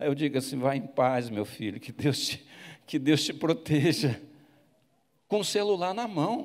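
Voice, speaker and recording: A man with a fairly high pitch and very wide pitch swings, at a fairly slow pace with long, frequent pauses. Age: 70s. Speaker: bishop preaching. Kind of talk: sermon. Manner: halting.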